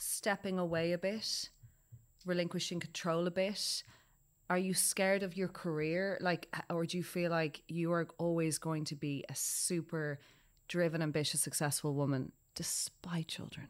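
In an Irish accent, a woman with a fairly low pitch keeps a moderate pace and fairly even intonation. The recording is very clean, with a silent background. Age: 30s. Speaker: podcast host. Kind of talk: casual chat. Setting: studio.

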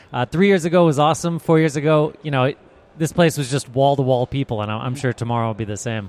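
Very fast male speech in an American accent, with a dry, close sound and no echo. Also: fairly high pitch for a man, ordinary pitch variation. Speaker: brewery representative. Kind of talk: casual interview.

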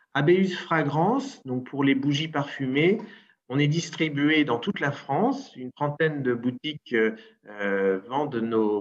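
A man talks very slowly, his medium-pitched voice carrying lively intonation. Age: 40s. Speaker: entrepreneur. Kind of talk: interview.

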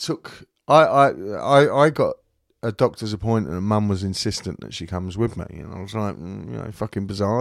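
Here a man speaks in an unremarkable speaking voice, fairly low in pitch. His pace is moderate and his intonation lively. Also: very clean recording, silent background. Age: 50s. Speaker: podcast host. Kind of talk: casual chat.

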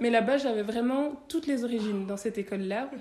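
Noticeable background noise beneath a woman's moderately paced speech with ordinary pitch variation. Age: 30s. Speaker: tax lawyer. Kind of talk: interview conversation.

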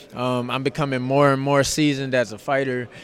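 There is noticeable background noise behind this man. His pitch is fairly high, and his intonation is monotone and flat. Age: young. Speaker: boxer. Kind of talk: press interview. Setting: arena press event.

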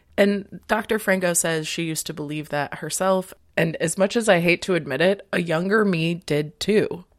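A woman with an ordinary speaking voice, fairly low in pitch, talks at a moderate pace with ordinary pitch variation and hardly any pauses in a very clean recording with a silent background. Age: 30s. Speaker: podcast host. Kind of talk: casual solo monologue.

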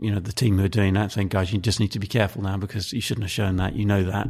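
A man speaks in a southern English accent. His intonation is fairly even. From southern England (Maidenhead, Berkshire). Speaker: football club marketing executive. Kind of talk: interview. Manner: hesitant, many fillers.

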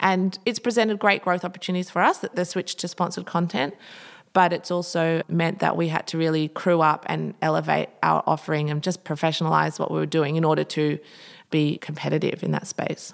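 In a very clean recording with a silent background, a plain, everyday voice moves at a fairly quick pace with fairly even intonation. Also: woman, fairly low pitch for a woman. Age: 30s. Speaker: interiors blogger and business owner. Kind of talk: interview conversation.

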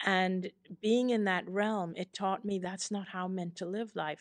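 In an ordinary speaking voice, a woman talks at a medium pitch and a fairly slow pace, with fairly even intonation. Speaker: author. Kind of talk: interview.

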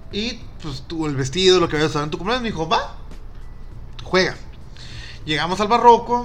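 Audible room echo surrounds a man whose high voice moves fairly quickly, with lively intonation and an animated tone. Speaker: podcast co-host. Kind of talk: casual chat.

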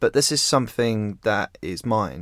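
In an English accent, the speaker goes at a fairly slow pace on a very clean recording with a silent background. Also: man. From rural England. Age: 20s. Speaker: magazine founder and editor. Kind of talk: interview conversation.

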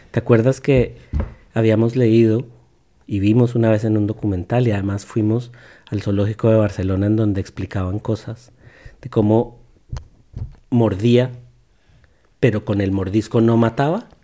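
On a very clean recording with a silent background, a man with a dark, mellow tone and medium pitch talks with fairly even intonation and long, frequent pauses. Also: moderate pace. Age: 40s. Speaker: podcast host and father. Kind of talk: casual educational chat with his child.

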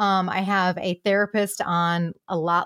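Recorded dry and close with no echo, a woman with a medium pitch comes through on a very clean recording against a silent background. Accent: American. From Michigan, US. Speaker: comedian and impressionist. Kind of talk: casual interview chat. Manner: animated, humorous.

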